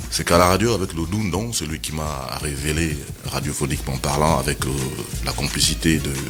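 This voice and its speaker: A man's very deep, low voice with music in the background and audible room echo. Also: ordinary pitch variation, moderate pace. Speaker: TV and radio presenter. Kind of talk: interview. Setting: studio.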